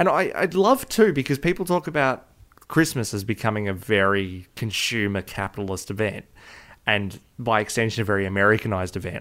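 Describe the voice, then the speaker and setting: A man with a medium-pitched voice speaks at a fairly quick pace with lively intonation. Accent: Australian. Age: 20s. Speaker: podcast co-host. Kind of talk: casual chat.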